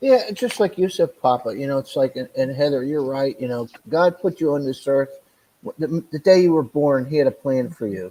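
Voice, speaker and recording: A man in a plain, everyday voice keeps a moderate pace with ordinary pitch variation. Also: fairly high pitch for a man. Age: 60s. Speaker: caller on a livestream chat. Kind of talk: casual chat.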